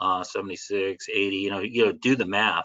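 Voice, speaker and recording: This is an unremarkable speaking voice with an American accent. Its intonation stays fairly even. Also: man. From Southern California. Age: 60s. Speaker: catechist and author. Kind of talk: webinar presentation. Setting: video webinar. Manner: conversational, many fillers.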